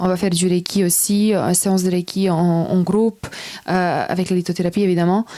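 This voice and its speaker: A woman's very fast, monotone, flat delivery at a medium pitch, dark and mellow in tone, with a Serbian accent. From Serbia / North Macedonia. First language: Serbian (speaking French). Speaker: personal development coach. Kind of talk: interview.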